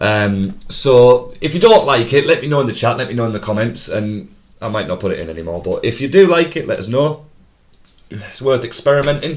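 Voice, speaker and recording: A man with a Teesside accent talks fairly quickly at a medium pitch. His intonation is lively and his loudness swings a lot. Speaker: quizmaster. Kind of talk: live stream pub quiz hosting. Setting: live stream. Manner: fast.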